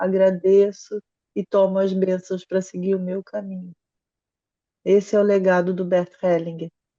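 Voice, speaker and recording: Her tone dark and mellow, a woman speaks at a fairly slow pace with monotone, flat intonation. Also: dry, close sound with no echo. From Brazil. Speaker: psychologist and family constellation facilitator. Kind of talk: interview conversation.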